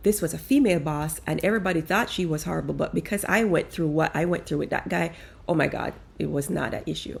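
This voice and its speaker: A woman speaks very fast with a non-native accent. Her tone is animated. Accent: foreign accent, kept. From outside the US, moved to America as young adult. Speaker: life coach. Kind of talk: casual monologue.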